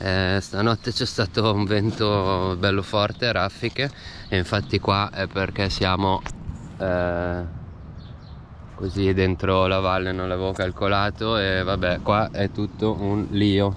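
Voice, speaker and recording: Over noticeable background noise, a man speaks at a very slow pace in a monotone, flat intonation with long, frequent pauses. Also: fairly low pitch for a man. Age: 30s. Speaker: bicycle traveller. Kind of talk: casual travel vlog talk to camera. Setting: outdoors.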